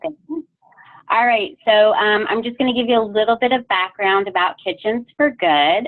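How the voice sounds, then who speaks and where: A woman speaks with a fairly high pitch and lively intonation. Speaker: culinary training program staff. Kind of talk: webinar presentation. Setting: video call.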